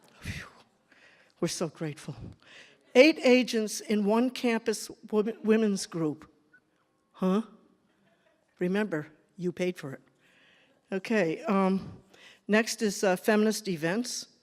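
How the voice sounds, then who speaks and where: Speaking at a very slow pace with long, frequent pauses, the voice carries an American accent. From New England, US. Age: 70s. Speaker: feminist activist, former publication editor. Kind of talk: speech at a concert, showing documents. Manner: halting.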